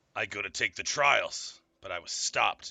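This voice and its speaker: In a raspy put-on character voice, a man talks at a moderate pace with an extremely high pitch. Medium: actual play. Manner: stiff, formal, haughty.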